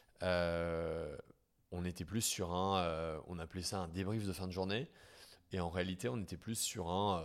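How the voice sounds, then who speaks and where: The recording is very clean, with a silent background. A man talks at a moderate pace with a very deep, low pitch. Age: 30s. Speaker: startup founder and CEO. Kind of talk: interview. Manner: hesitant, many fillers.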